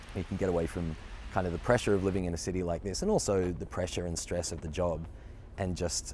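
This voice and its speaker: In an Australian accent, a man with a very deep, low pitch and a dark, mellow tone talks at a fairly quick pace with vocal fry and ordinary pitch variation, and audible room echo. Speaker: actor. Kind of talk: interview. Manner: casual, with fillers.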